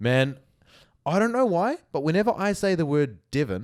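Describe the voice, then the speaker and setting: In a very clean recording with a silent background, a man with a New Zealand accent talks at a fairly quick pace with lively intonation. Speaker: podcast co-host. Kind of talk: casual chat.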